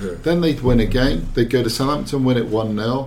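A somewhat breathy man talks at a fairly quick pace and medium pitch with ordinary pitch variation. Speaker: football journalist. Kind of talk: casual football discussion. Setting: studio.

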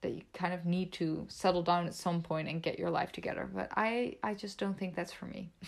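A woman with a Dutch accent talks at a fairly quick pace and fairly low pitch, monotone and flat, with hardly any pauses. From Netherlands. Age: 20s. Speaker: YouTuber. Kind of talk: casual chat.

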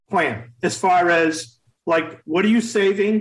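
An American accent from a man with a high pitch and ordinary pitch variation. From Maine, US. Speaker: dentist and practice consultant. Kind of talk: interview.

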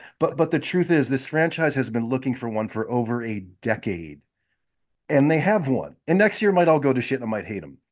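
A plain, everyday voice from a man, medium-pitched and fairly quick, against a quiet background. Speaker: podcast co-host. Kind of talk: casual sports podcast chat.

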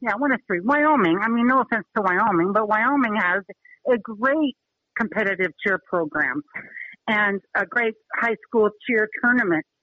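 A woman with an American accent uses a normal speaking voice at a fairly high pitch, moderate pace, lively intonation and very even loudness. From Utah. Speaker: high school cheer coach. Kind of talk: radio interview.

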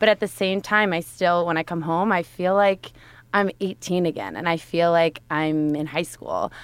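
The pace is moderate and the speaking voice is unremarkable. The recording is very clean, with a silent background. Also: woman. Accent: American. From Westchester County, New York. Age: 20s. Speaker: recent graduate, law firm employee. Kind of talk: casual chat. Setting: studio.

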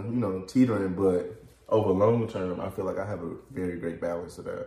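A man with an American accent and an unremarkable speaking voice, fairly low in pitch, ordinary pitch variation, moderate pace. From Columbia, South Carolina. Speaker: trucking company owner. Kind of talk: casual interview.

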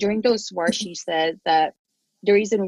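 Someone with a Filipino accent speaks with ordinary pitch variation in a dry, close sound with no echo. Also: woman. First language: Tagalog. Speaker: podcast host. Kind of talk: casual interview conversation.

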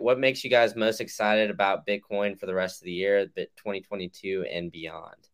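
At a moderate pace, the speaker uses an ordinary speaking voice with fairly even intonation. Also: man. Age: 20s. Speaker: podcast host. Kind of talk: casual interview.

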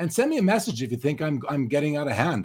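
Fairly quick speech comes from a man. There is some breathiness in his voice. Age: 50s. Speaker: sports card podcast host. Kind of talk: live stream chat. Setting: live video stream.

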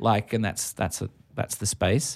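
A man with an Australian accent speaks at a moderate pace and a medium pitch. The recording is very clean, with a silent background. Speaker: podcast host and musician. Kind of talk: casual interview chat. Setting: music venue.

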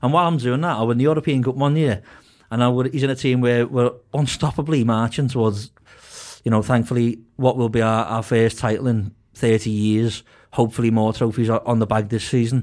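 The recording is very clean with a silent background. A man talks at a fairly quick pace with very even loudness and fairly even intonation. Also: medium pitch for a man. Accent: Liverpool. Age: 20s. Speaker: football podcast panelist. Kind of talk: casual chat.

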